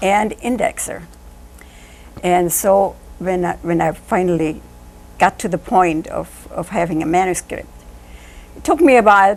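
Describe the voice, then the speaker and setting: At a moderate pace and a medium pitch, a woman speaks with ordinary pitch variation and long, frequent pauses. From Germany. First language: German. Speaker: author. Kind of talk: interview.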